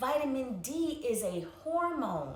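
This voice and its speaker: A woman with lively intonation, plus audible room echo and noticeable background noise. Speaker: wellness educator. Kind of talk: instructional talk. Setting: livestream.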